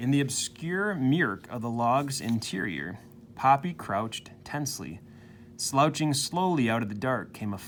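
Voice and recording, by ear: A natural reading-aloud voice full of lively intonation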